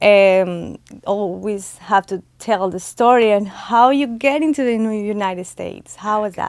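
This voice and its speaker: A woman with a Spanish accent at a medium pitch, a fairly slow pace and ordinary pitch variation. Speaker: podcast host. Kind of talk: podcast interview. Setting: studio. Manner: halting English.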